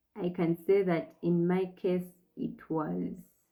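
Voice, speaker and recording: This soft-spoken woman has a dark, mellow tone, a fairly low pitch and fairly even intonation. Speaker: faith vlogger on infertility. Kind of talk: personal reflection monologue. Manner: slow, deliberate articulation.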